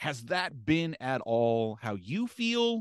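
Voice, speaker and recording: An animated man at fairly high pitch with very wide pitch swings, dry, close sound with no echo, and a quiet background. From US small town. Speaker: podcast host. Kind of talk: casual interview chat.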